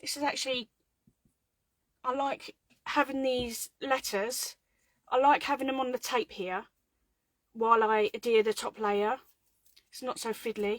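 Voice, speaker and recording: A woman with a British accent and a high pitch, fairly slow and fairly even, with long, frequent pauses in a dry, close sound with no echo. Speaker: craft tutorial host. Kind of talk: live craft tutorial. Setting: home craft room livestream. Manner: casual, chatty; quiet while concentrating.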